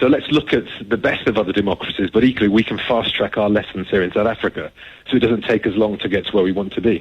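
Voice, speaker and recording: A man speaks very fast in an English accent. His pitch is fairly low and his intonation fairly even. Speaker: executive search CEO. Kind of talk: radio interview.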